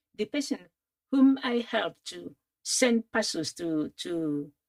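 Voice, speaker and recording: Dry and close with no echo, a woman's voice moves at a fairly slow pace through very wide pitch swings. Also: long, frequent pauses, big swings in loudness. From Nigeria. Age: 70s. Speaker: retired teacher, interviewee. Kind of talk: personal storytelling.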